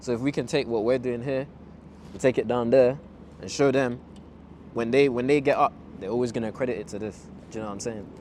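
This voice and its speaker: With a London accent, a man talks at a very fast pace and a medium pitch, broken by long, frequent pauses. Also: fairly even intonation. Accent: London multicultural English. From Zimbabwe. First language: Ndebele. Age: 20s. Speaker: fashion designer. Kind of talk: casual interview chat.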